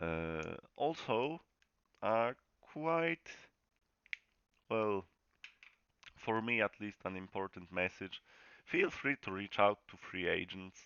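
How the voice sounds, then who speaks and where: With a Polish accent, a man speaks very slowly at a fairly low pitch, using lively intonation, long and frequent pauses, and big swings in loudness. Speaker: sim racing league host. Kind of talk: channel update announcement. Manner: casual, halting.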